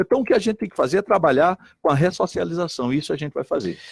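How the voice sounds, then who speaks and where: A man's animated tone at a very fast pace, dry and close with no echo, on a very clean recording with a silent background. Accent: northeastern Brazilian. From Brazilian Northeast, Recife. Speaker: politician. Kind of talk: radio debate. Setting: radio studio.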